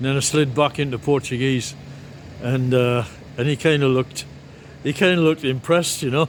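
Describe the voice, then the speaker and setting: A man speaks at a medium pitch and a fairly quick pace, with fairly even intonation and long, frequent pauses. Noticeable background noise runs underneath. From northeast England. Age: 70s. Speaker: vlogger, former physics teacher. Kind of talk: casual vlog monologue. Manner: halting, many fillers and restarts.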